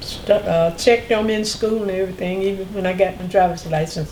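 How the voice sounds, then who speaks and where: Audible room echo and noticeable background noise surround a woman speaking at a moderate pace with a North Carolina accent. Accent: Southern US (North Carolina). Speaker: oral history interviewee. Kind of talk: interview.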